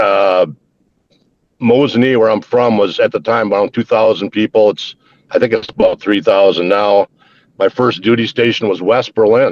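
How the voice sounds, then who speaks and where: Recorded dry and close with no echo, a man with an American accent speaks at a medium pitch, keeping his loudness very even and his intonation fairly even. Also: moderate pace. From central Wisconsin, US. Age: 60s. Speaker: army veteran. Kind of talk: casual chat. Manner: halting.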